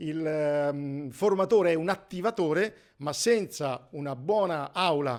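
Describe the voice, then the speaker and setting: A man's fairly high-pitched voice. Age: 60s. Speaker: negotiation trainer. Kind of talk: course presentation. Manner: halting.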